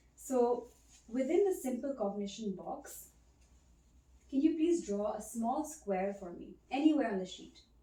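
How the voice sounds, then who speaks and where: Soft-spoken and somewhat breathy, a woman talks at a moderate pace in a dark, mellow tone. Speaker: ASMR creator playing a cognitive examiner. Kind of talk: ASMR role play, soft-spoken examiner.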